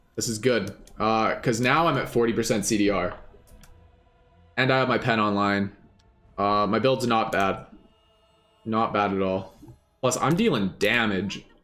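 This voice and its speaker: The speech moves at a moderate pace with ordinary pitch variation and long, frequent pauses. Music plays in the background. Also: man, medium pitch for a man. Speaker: gaming streamer. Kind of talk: live gameplay commentary.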